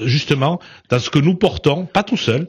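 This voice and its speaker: This is a man's voice with ordinary pitch variation. The recording is very clean, with a silent background. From southern France. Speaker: politician. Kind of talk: radio interview. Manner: loud, forceful; hesitant, many fillers.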